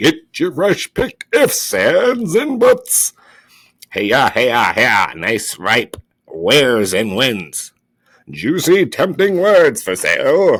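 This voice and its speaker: A put-on character voice, raised and projected, moves at a very slow pace in a very clean recording with a silent background. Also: man. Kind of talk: read story. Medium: read story. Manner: loud, hawking.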